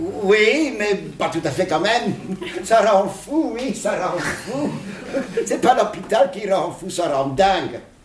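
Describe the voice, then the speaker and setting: With audible room echo and noticeable background noise, a high-pitched man speaks at a very slow pace with lively intonation and long, frequent pauses. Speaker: psychologist. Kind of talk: interview. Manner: animated.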